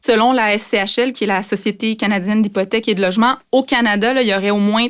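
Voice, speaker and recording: In a very clean recording with a silent background, a woman talks at a very fast pace with fairly even intonation. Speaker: consumer affairs journalist. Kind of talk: podcast explainer.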